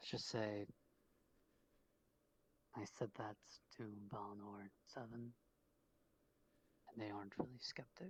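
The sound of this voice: A man does a put-on character voice at a slow pace, fairly low in pitch with a slightly husky edge and little pitch movement. Long, frequent pauses break up his speech.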